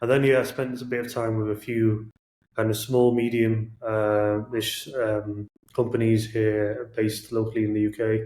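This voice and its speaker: In a Manchester accent, a man with a medium pitch and a dark, mellow tone speaks with monotone, flat intonation. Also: moderate pace. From northern England, Manchester. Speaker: product manager. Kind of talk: podcast interview.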